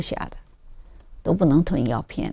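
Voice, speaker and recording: A woman speaks with a very deep, low pitch and a slight Shanghai accent. Her intonation is lively, with vocal fry. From Zhejiang, China. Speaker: cancer survivor. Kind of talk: interview testimony. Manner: halting, many fillers.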